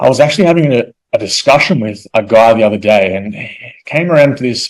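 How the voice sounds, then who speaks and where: A man speaks at a very fast pace. His pitch is medium and his intonation lively. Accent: Australian. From Australia. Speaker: real estate investor. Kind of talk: presentation. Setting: evening presentation to an audience. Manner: repetitive, with filler words.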